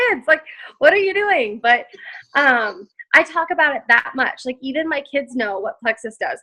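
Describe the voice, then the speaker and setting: A woman's high-pitched, raised and projected voice, with a bright, sharp tone and very wide pitch swings. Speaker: network marketing distributor. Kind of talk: interview. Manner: loud; animated.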